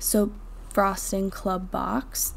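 The voice has a dark, mellow tone and an American accent, with audible room echo. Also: woman. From northern Vermont, US. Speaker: soap maker and video creator. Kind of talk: tutorial with voiceover narration.

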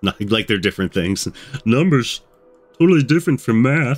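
Using a put-on character voice at medium pitch, a man talks at a moderate pace while faint music plays in the background. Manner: silly, comic.

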